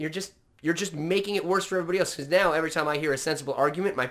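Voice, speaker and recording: Loud and animated, a man with an American accent speaks at a high pitch with lively intonation. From California and Washington, US. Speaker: podcast co-host, former opera singer. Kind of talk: casual chat, joking. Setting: video call on Zoom. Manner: loud, animated.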